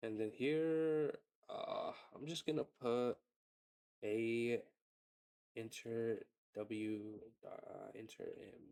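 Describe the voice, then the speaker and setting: The clip is quiet. A man talks at a very slow pace with long, frequent pauses. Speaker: tutorial creator. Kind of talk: tutorial. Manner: casual, filler-heavy.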